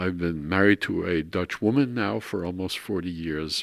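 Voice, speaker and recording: At a fairly slow pace, the speaker uses a New York accent on a very clean recording with a silent background. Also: man. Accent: New York American. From New York, Brooklyn. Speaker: art historian. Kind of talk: interview. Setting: at home.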